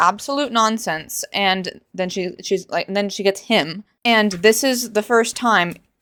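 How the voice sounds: Someone reads in a natural way. Little else can be heard behind the voice.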